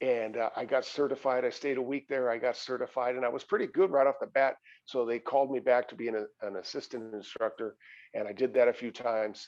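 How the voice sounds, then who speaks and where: A man talks at a fairly quick pace in a plain, everyday voice, medium in pitch, with fairly even intonation. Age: 60s. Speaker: fitness instructor. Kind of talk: interview.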